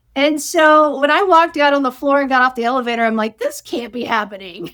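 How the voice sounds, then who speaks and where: The voice is loud, very fast and lively in intonation, with a bright, sharp tone. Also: woman, high pitch for a woman. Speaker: chiropractor. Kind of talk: interview. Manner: loud laugh; halting.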